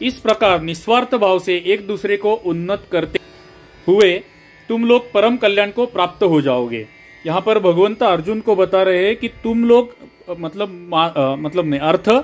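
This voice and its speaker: Over music in the background, a man with a Marathi accent speaks at a moderate pace in a high pitch with ordinary pitch variation. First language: Marathi (speaking Hindi). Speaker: scripture teacher. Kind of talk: scripture reading and explanation. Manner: halting.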